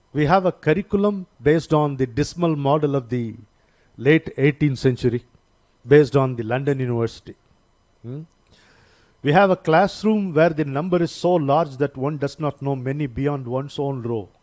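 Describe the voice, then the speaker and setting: With an Indian accent, a man talks at a moderate pace in a fairly high pitch, using ordinary pitch variation, and the sound is dry and close with no echo. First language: Indian language (not Telugu or English). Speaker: seminar speaker. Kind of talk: lecture. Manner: halting, with many fillers.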